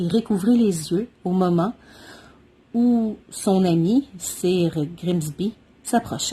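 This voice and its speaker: A woman's somewhat breathy, dark, mellow voice at medium pitch, very slow with long, frequent pauses, very even loudness and ordinary pitch variation. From Quebec. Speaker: mother of triplets. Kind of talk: children's story reading.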